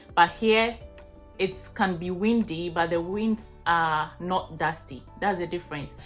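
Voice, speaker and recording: Over music in the background, a woman with a Ghanaian accent speaks in a fairly low pitch with fairly even intonation. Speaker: vlogger. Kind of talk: casual talk to camera.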